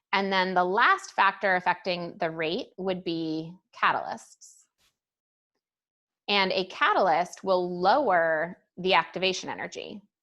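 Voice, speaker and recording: A woman talks fairly slowly in a plain, everyday voice. Her pitch is medium, her intonation fairly even, and the background quiet. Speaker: high school chemistry teacher. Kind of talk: lecture. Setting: recorded class session. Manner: casual.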